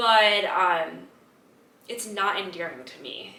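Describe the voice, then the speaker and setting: Background noise is noticeable throughout. Her voice sits at a medium pitch. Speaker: podcast host. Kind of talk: casual talk to camera.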